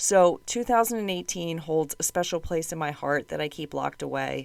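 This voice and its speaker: On a very clean recording with a silent background, a woman talks at a fairly quick pace with a very deep, low pitch. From United States. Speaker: podcast host. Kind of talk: true crime narration.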